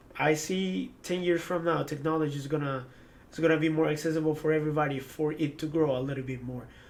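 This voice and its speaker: A man with an Ecuadorian accent speaks at a very fast pace and fairly high pitch, his intonation fairly even. Audible room echo surrounds him. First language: Spanish. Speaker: former esports pro player. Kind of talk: interview. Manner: hesitant, many fillers and repetitions.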